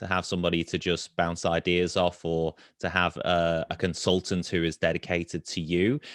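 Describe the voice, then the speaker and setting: With a British accent, a man speaks in a very deep, low voice, the sound dry and close with no echo. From UK. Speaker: webinar moderator. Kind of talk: webinar panel discussion.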